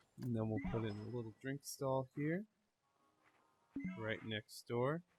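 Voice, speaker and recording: Music plays behind a man speaking at a fairly slow pace and medium pitch. The sound is dry and close with no echo, its loudness very even. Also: ordinary pitch variation. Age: 20s. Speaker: video game streamer. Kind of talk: gameplay commentary. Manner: casual.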